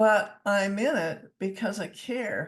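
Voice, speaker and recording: A woman speaks in a somewhat breathy voice. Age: 60s. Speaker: counsellor, author and public speaker. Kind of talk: interview conversation. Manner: animated.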